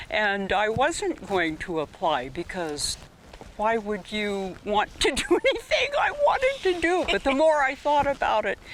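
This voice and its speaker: Against noticeable background noise, a woman with an American accent speaks fairly slowly at a fairly high pitch, her pitch swinging very widely. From Eureka, northern California. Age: 80s+. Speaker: retired educator. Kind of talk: casual interview. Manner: brief answers.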